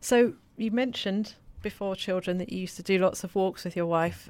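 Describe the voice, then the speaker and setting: A woman speaks in an English accent. Her pitch sits in the middle range, and her pace is fairly quick. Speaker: podcast co-host. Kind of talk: interview.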